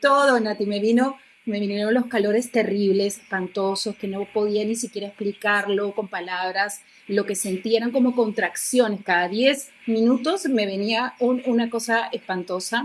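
This is an unremarkable speaking voice at a moderate pace. Its intonation is fairly even. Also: woman, fairly high pitch for a woman. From Argentina. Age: 50s. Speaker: TV presenter and actress. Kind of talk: personal testimony in interview.

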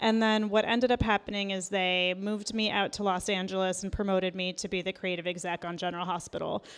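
Delivered at a very fast pace with hardly any pauses, the speech has monotone, flat intonation. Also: woman, medium pitch for a woman. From Iran, raised in US from age two. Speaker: author and TV writer. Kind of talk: interview conversation. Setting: live event recording.

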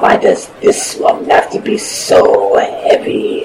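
A man puts on a character voice at an extremely high pitch, moving at a very slow pace. Loud background noise runs underneath. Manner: blunt, stilted, literal.

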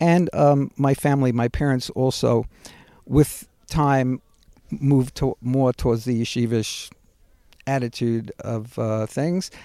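A man with a Brooklyn accent talks at a fairly slow pace in a medium pitch, with ordinary pitch variation. His tone is dark and mellow, and the sound is dry and close with no echo. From Brooklyn, New York. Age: 60s. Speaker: builder and community activist. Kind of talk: casual chat. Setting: outdoors in backyard orchard.

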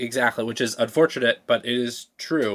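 In an unremarkable speaking voice, a man talks at a fairly quick pace in a medium pitch, on a very clean recording with a silent background and a dry, close sound with no echo. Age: 30s. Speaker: climate investing startup founder. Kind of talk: podcast interview.

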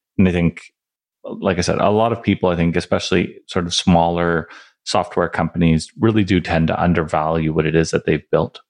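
A man talks with a very deep, low pitch and fairly even intonation. His pace is fairly quick, and the background is quiet. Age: 40s. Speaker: tech startup founder and CEO. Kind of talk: interview.

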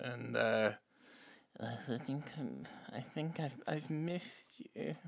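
A wheezy, put-on character voice. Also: man, medium pitch for a man.

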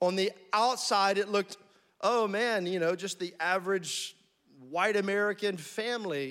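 Bright and sharp in tone, a man's high voice moves at a moderate pace with ordinary pitch variation. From US South, army brat (Florida, Alabama, North Carolina, Tennessee). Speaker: guest pastor. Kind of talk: sermon. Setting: church with congregation. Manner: animated.

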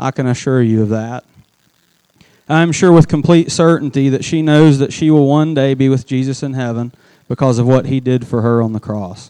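This man has an unremarkable speaking voice, talking fairly quickly at a medium pitch with ordinary pitch variation. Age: 30s. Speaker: youth pastor. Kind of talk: sermon.

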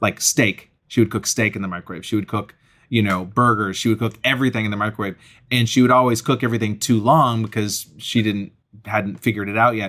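In a very clean recording with a silent background, a man with an American accent talks very fast in a bright, sharp tone at a fairly low pitch. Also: fairly even intonation. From Massachusetts (Acton, near Boston). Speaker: stand-up comedian. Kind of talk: casual chat.

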